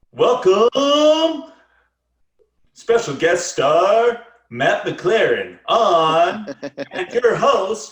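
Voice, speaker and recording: A man uses a put-on character voice with a high pitch. There is slight echo. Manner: showy, announcing.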